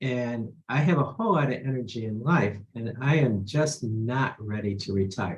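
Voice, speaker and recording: With a somewhat breathy voice, a man talks using ordinary pitch variation. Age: 60s. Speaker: attorney. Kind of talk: testimony.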